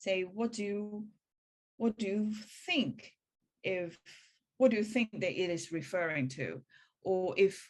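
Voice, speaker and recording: Against a quiet background, a woman with a Hong Kong accent speaks at a fairly slow pace with ordinary pitch variation. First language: Cantonese. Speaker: spiritual practitioner. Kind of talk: online meeting presentation. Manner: halting.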